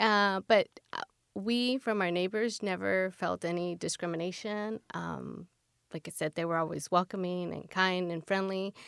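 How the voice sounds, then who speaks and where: A woman with a Californian accent speaks at medium pitch and a fairly slow pace, her intonation fairly even. The sound is dry and close with no echo, a very clean recording over a silent background. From San Fernando Valley, Los Angeles. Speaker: mother of three. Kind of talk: interview. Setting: studio.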